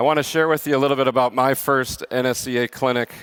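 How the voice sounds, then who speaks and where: A man at a fairly quick pace, with fairly even intonation and a dry, close sound with no echo. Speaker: strength and conditioning coach. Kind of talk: conference presentation. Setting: conference stage with audience. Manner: loud.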